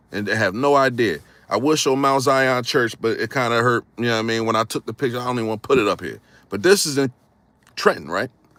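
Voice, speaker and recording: Here a man speaks at a very fast pace. His pitch sits at a medium level. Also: ordinary pitch variation. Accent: northern US. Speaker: history YouTuber. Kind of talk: casual live stream talk. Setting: live stream with green screen. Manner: animated.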